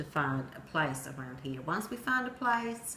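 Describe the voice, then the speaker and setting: A woman at a fairly slow pace with very wide pitch swings and audible room echo. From Sweden. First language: Swedish. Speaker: storyteller. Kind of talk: personal narrative speech.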